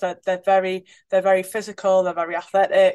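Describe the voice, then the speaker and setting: Against a quiet background, a woman with a northeast English accent talks in a monotone, flat intonation. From northeast England. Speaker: international rugby player, team captain. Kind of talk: casual interview chat.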